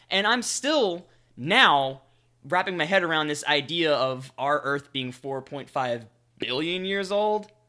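A man's fairly high voice with a bright, sharp tone and an American accent, lively intonation at a fairly slow pace, on a very clean recording with a silent background. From US South. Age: 20s. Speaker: podcast co-host. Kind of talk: casual chat.

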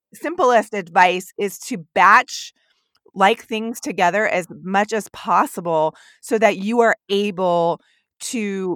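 In a plain, everyday voice, a woman speaks at a medium pitch with ordinary pitch variation, the sound dry and close with no echo. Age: 30s. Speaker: podcast host and academic advisor. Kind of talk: interview. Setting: remote call.

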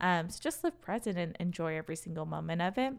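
In a plain, everyday voice with an American accent, a woman speaks at a fairly low pitch and a fairly quick pace on a very clean recording with a silent background. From Wisconsin, US; Racine, Wisconsin. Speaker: former college dance team member, HR professional. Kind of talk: casual interview chat.

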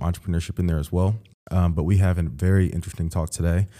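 In an American accent, a man with a very deep, low pitch and a dark, mellow tone talks at a very fast pace with fairly even intonation. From US Midwest, Central Ohio. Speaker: podcast host. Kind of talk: casual interview.

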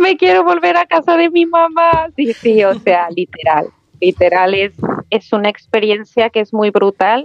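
Her pitch is fairly high and swings very widely. The woman speaks at a fairly slow pace with very even loudness. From Mexico, Aguascalientes. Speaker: mother abroad. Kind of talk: casual chat.

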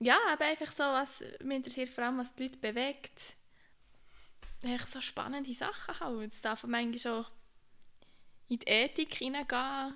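A woman with a high, bright and sharp voice speaks at a moderate pace with ordinary pitch variation. She leaves long, frequent pauses. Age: 20s. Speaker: podcast co-host, occupational therapy student. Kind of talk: casual chat.

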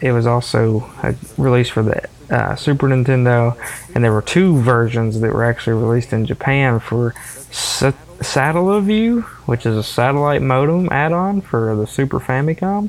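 Speaking in a Southern US accent at a moderate pace, a man has a medium pitch, lively intonation and very even loudness. Noticeable background noise runs underneath. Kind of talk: casual chat.

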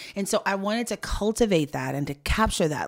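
A woman's animated, fairly quick speech on a very clean recording with a silent background. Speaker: founder of women's career advice platform. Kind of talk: interview conversation. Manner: extroverted, animated.

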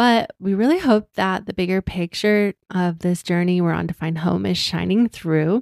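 A woman with a plain, everyday voice speaks at a moderate pace and medium pitch, with ordinary pitch variation and hardly any pauses. The sound is dry and close, with no echo. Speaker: podcast host, digital nomad. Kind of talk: casual conversation.

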